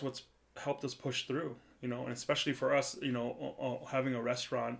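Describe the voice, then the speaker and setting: A man with an American accent at a medium pitch and fairly quick pace, his intonation monotone and flat. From US Midwest, central Wisconsin. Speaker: chef. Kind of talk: casual chat. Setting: video call.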